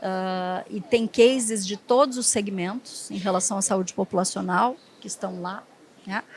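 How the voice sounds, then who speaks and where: Somewhat breathy and with a southern Brazilian accent, a woman speaks at a fairly slow pace and medium pitch, her pitch varying in an ordinary way and her loudness swinging widely. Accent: gaúcho (southern Brazilian). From southern Brazil (Rio Grande do Sul). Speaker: hospital HR and development executive. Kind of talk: panel discussion.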